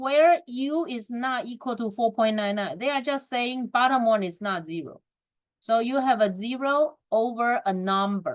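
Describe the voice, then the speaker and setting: A woman speaks at a fairly slow pace in a non-native accent. Her voice is high, with lively intonation. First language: not English. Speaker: math teacher. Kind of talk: recorded lesson.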